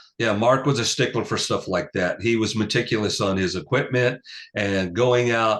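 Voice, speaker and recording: Medium-pitched male speech at a moderate pace against a quiet background. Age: 60s. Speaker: rock bassist. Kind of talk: casual interview. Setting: video call.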